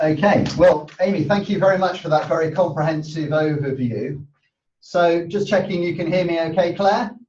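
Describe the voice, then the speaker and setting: Loud and high-pitched, a man speaks with ordinary pitch variation. He leaves long, frequent pauses. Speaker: university sustainability manager. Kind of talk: webinar presentation. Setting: online webinar.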